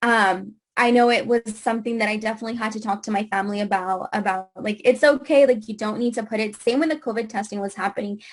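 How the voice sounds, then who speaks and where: Against a quiet background, a woman speaks at a very fast pace with a fairly high pitch and fairly even intonation. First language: Spanish. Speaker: immigrant rights activist. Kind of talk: panel discussion. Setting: video call. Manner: halting.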